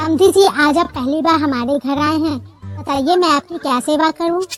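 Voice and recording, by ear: Clear music plays behind a woman doing a cartoonish character voice, high-pitched with fairly even intonation. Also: moderate pace.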